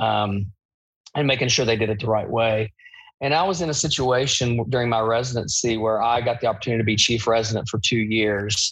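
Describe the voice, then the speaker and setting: At a fairly quick pace, the speaker talks in an Appalachian accent with fairly even intonation and very even loudness. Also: man, medium pitch for a man. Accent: Appalachian US Southern. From Eastern Kentucky. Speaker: bariatric surgeon. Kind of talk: casual interview.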